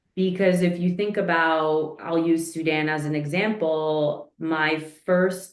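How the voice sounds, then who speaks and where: Audible room echo surrounds a woman's voice. Her pitch is fairly low and her intonation is monotone and flat. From New York, inner city, Eastern European family. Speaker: leadership coach. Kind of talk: podcast interview.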